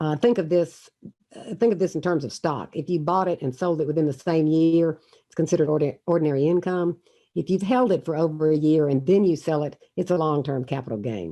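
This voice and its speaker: The talk moves at a fairly quick pace in a Southern US accent, with a dark, mellow tone. Pitch varies in an ordinary way, while loudness swings widely. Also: woman, very deep, low pitch for a woman. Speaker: university finance professor. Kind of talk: online lecture. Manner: fast. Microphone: poor connection, choppy.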